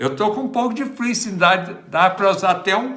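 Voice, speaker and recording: A man's raised, projected voice with audible room echo. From Minas Gerais, Brazil. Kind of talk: livestream chat and prayer. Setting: livestream at home. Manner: casual, chatty.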